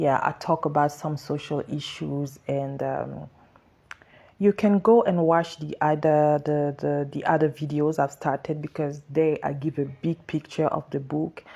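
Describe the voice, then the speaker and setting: Very deep and low, a woman's voice carries a French accent. She talks fairly slowly in a flat monotone. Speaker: author. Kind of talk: social media livestream talk. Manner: halting.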